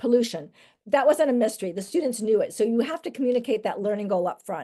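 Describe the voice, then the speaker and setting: Over a quiet background, a woman with a fairly high pitch speaks in a dark, mellow tone with lively intonation. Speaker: education trainer. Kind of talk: lecture. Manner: fast.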